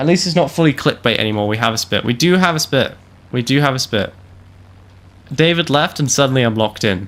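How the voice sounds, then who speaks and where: Very fast speech in a British accent, with lively intonation broken by long, frequent pauses. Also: man, medium pitch for a man. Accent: British accent kept. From UK, moved to Canada at four. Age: 20s. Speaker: gaming streamer. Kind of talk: live gameplay stream chat. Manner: animated.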